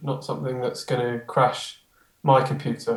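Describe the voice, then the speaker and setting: A man speaks at a moderate pace and medium pitch. His voice is somewhat breathy. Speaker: music producer. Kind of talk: casual interview chat.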